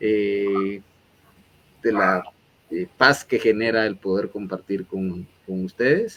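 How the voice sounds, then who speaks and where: Here a man speaks in a monotone, flat intonation at a fairly slow pace. His pitch is fairly low. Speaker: interview show host. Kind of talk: interview closing remarks. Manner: hesitant, many fillers.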